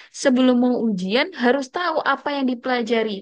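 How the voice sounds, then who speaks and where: This woman speaks in a high pitch. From Indonesia. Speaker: Arabic language teacher. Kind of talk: lecture. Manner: casual, conversational.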